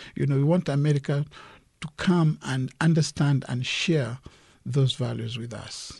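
A man speaks at a fairly high pitch with a somewhat breathy quality. His intonation stays fairly even, and his pace is fairly slow. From Kenya. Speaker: director of a student exchange organization. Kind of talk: radio interview. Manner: halting, many fillers.

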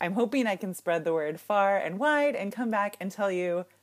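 A woman's medium-pitched voice at a fairly quick pace, lively intonation, on a very clean recording with a silent background. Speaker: podcast host. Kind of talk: casual solo monologue.

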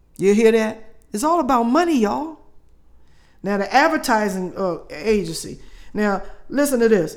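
Animated and with very wide pitch swings, a woman with a fairly high pitch speaks at a moderate pace, leaving long, frequent pauses, in audible room echo. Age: 50s. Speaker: book commentary vlogger. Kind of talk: reading aloud with commentary.

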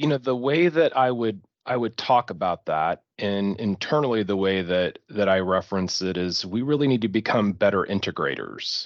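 With a normal speaking voice, a man of fairly low pitch talks at a moderate pace with lively intonation over a quiet background. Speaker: technology executive. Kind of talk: interview answers.

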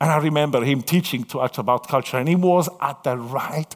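The voice has an animated tone and moves at a moderate pace. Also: man. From Italy. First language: Italian. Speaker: missionary pastor. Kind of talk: sermon. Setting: church with audience. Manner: halting.

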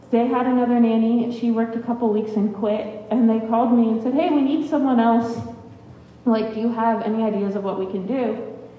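A woman with an American accent speaks at a fairly quick pace, fairly high in pitch with fairly even intonation. Audible room echo and noticeable background noise fill the recording. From Ohio. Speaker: guest speaker. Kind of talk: testimony.

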